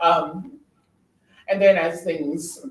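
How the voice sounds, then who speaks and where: Amid audible room echo, a man with a high pitch speaks with ordinary pitch variation. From New York. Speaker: drag performer and show director. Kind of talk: casual chat. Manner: hesitant, many ums.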